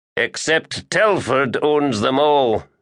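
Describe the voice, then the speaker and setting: Growling in a put-on character voice, a man speaks at fairly high pitch. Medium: read story. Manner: slow-talking, growling.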